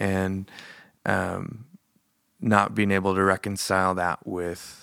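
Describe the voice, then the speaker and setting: With an American accent, a man speaks in a very deep, low voice with a bright, sharp tone, monotone and flat, at a fairly slow pace. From Montana. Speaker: worship leader and production manager at a church. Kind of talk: casual chat.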